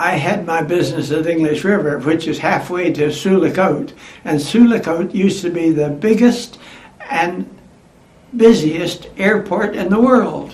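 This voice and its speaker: A man speaks at a fairly slow pace and high pitch with ordinary pitch variation. Background noise is noticeable. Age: 80s+. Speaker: former aircraft mechanic; World War Two veteran worker. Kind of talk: oral history interview answer.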